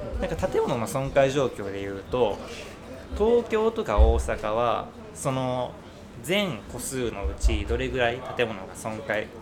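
Big swings in loudness mark this man's fairly slow speech. Noticeable background noise and audible room echo fill the recording. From Kyoto, Japan. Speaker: listener guest. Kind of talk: casual chat.

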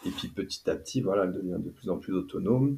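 Lively intonation marks this man's somewhat breathy, dark, mellow voice. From western France, near Nantes. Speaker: neurofeedback practitioner. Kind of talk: casual chat.

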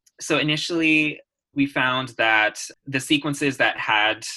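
A man speaks with an American accent and a bright, sharp tone. His pitch varies in an ordinary way. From California. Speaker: PhD student in biology. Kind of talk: interview. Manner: hesitant with fillers.

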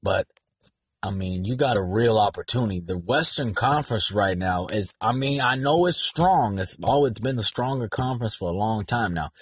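A man's medium-pitched, somewhat breathy voice in an animated tone at a moderate pace. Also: lively intonation. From San Diego, California. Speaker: sports podcast host. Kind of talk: solo sports commentary monologue. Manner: casual, animated.

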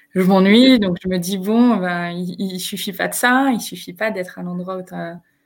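Her medium-pitched voice fairly even in intonation, a woman speaks at a fairly slow pace. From northern France, Picardy. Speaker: HR entrepreneur and speaker. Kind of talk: live video interview. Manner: halting, repeats words.

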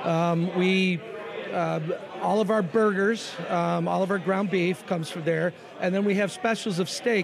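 Noticeable background noise accompanies a man with an American accent. He speaks fairly slowly, with a high pitch and fairly even intonation. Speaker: restaurant owner. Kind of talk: casual chat.

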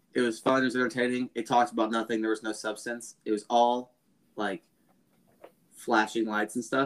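At a medium pitch, a man with a plain, everyday voice speaks fairly quickly, the sound dry and close with no echo. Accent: American. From US. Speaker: podcast co-host. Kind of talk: casual chat.

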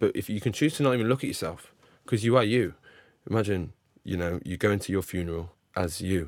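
Over a silent background on a very clean recording, a man talks very fast at a fairly low pitch with ordinary pitch variation and long, frequent pauses. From England. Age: 20s. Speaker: podcast host. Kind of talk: casual chat.

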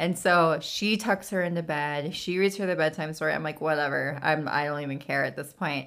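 A woman with an American accent, very deep and low in pitch, ordinary pitch variation, a fairly quick pace with hardly any pauses, on a very clean recording with a silent background. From California. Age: 30s. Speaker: podcast host. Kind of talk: casual chat.

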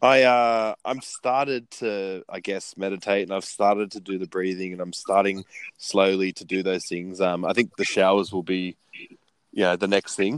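An unremarkable speaking voice goes at a moderate pace, with a dry, close sound and no echo. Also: man, fairly low pitch for a man. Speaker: podcast co-host. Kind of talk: casual chat. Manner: talkative, upbeat, excitable.

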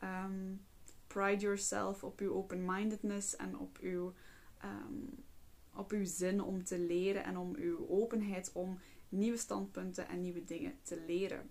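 This woman has an unremarkable speaking voice at medium pitch with ordinary pitch variation. She speaks at a fairly slow pace. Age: 20s. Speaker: psychologist and podcast host. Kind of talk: casual monologue.

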